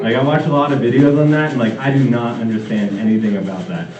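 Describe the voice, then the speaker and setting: Audible room echo and noticeable background noise surround a man with an American accent speaking at a fairly quick pace. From New Jersey. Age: 30s. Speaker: stand-up comedian. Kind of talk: stand-up. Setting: stage with audience. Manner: casual, filler-heavy.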